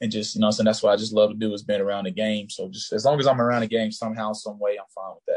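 This man, with a Southern US accent and fairly low pitch, talks at a very fast pace with hardly any pauses, fairly even intonation and big swings in loudness. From US South, rural Georgia. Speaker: college football player. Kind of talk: interview. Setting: video call.

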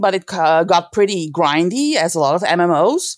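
With a Dutch accent, a woman talks with lively intonation. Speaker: gaming community manager and stage actress. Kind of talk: casual chat.

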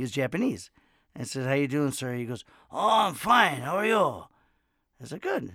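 A man with an American accent speaks at a moderate pace. His tone is bright and sharp, and his pitch swings very widely. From US South. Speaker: podcast host. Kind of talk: interview. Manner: animated; rambling.

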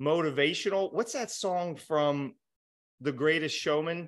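A man speaks at a fairly slow pace in a plain, everyday voice. His pitch is fairly high, with ordinary variation. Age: 30s. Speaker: life coach and motivational speaker. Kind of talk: casual interview.

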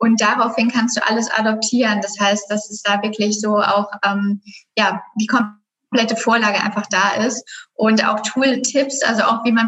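A woman talks fairly slowly in a fairly high voice. Her intonation stays monotone and flat. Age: 20s. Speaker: graphic designer and business coach. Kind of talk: casual chat.

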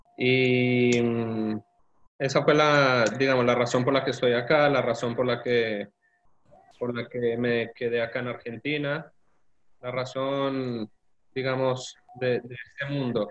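Pausing long and often, a man speaks very slowly at a medium pitch in a monotone, flat delivery. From Colombia. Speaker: convert to Judaism, engineer. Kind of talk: interview testimony.

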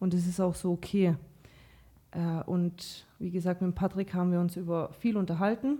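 A woman speaks at a moderate pace in a fairly low, somewhat breathy voice with a dark, mellow tone and fairly even intonation. The recording is very clean, with a silent background. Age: 30s. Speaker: podcast guest. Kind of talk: casual chat.

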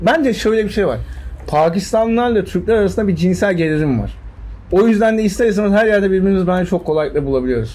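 Here a man talks very fast with an animated tone and lively intonation, his pitch high. Room echo can be heard. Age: 20s. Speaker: podcast guest. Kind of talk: casual chat.

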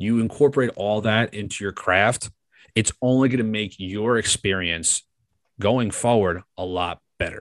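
An unremarkable speaking voice with an American accent moves at a fairly slow pace with ordinary pitch variation, dry and close with no echo over a quiet background. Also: man, fairly low pitch for a man. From New York. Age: 20s. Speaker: sports radio producer and podcast host. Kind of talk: interview.

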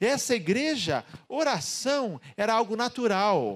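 In a very clean recording with a silent background and a dry, close sound with no echo, a man's voice makes very wide pitch swings. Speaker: pastor. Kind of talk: sermon. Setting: church.

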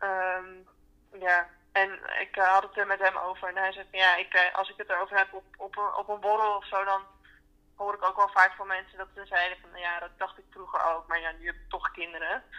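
A woman with a bright, sharp tone and medium pitch speaks fairly quickly in a monotone, flat intonation, her loudness swinging widely. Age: 20s. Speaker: interviewee. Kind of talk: personal interview.

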